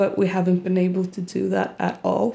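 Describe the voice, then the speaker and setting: A woman with a Swedish accent speaks at a moderate pace. Her tone is dark and mellow, her pitch medium. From Sweden. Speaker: YouTuber. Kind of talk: casual Q&A vlog.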